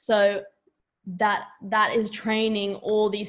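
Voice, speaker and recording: In an Australian accent, a woman speaks at a medium pitch with monotone, flat intonation. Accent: Australian, noticeable. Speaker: yoga teacher. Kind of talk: casual chat.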